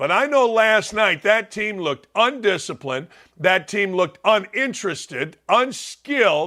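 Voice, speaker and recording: A man's raised, projected voice, high in pitch and bright and sharp in tone, fairly slow, with very wide pitch swings, on a very clean recording with a silent background. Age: 60s. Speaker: sports talk show host. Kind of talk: sports talk monologue. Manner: animated.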